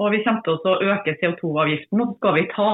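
With an unremarkable speaking voice, a woman talks at a fairly quick pace with ordinary pitch variation. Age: 50s. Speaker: politician, podcast co-host. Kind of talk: casual chat. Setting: remote recording from her farm.

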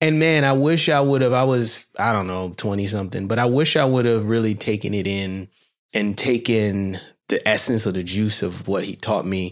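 Recorded very cleanly against a silent background, a man with an unremarkable speaking voice talks at a moderate pace with ordinary pitch variation. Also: fairly low pitch for a man. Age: 40s. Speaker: podcast host, doctor. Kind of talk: interview.

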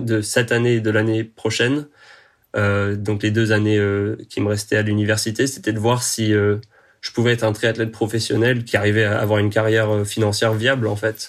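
Against a quiet background, a man talks at a moderate pace in a fairly low, flat, monotone voice. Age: 20s. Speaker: professional triathlete and engineering student. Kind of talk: podcast interview.

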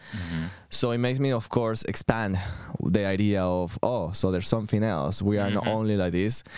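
At a fairly quick pace, a man with a Venezuelan accent speaks in a fairly low pitch with ordinary pitch variation. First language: Spanish. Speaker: podcast collective member. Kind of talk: casual chat.

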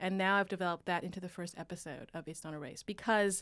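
A woman with a Canadian accent and an ordinary speaking voice, at a fairly quick pace and with fairly even intonation, on a very clean recording with a silent background. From Canada, Vancouver. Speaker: radio producer and journalist. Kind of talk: casual interview.

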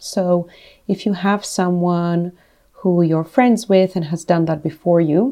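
A woman with a dark, mellow tone speaks at a moderate pace and medium pitch, with ordinary pitch variation and a quiet background. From Greece / Italy. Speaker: animation studio founder. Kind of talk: casual chat.

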